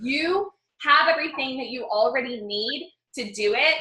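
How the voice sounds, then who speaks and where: In a room with audible echo, a woman raises and projects her voice in an animated tone, moving at a moderate pace with very wide pitch swings. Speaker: success coach and personal branding mentor. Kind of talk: live webinar training. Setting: online webinar.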